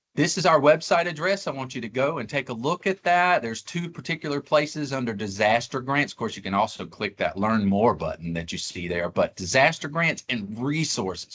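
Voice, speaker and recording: A man talks at medium pitch and a fairly quick pace with hardly any pauses. His voice shows vocal fry and very wide pitch swings. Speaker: government grant officer. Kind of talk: webinar presentation. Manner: fast.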